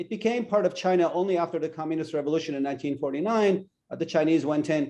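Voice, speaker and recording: A man with a Turkish accent, fairly high in pitch with ordinary variation, dark and mellow in tone, at a very fast pace. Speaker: political analyst. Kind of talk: podcast interview.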